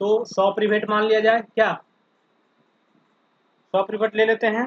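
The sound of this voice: A man talks at a fairly slow pace in a high pitch with little pitch movement, the sound dry and close with no echo.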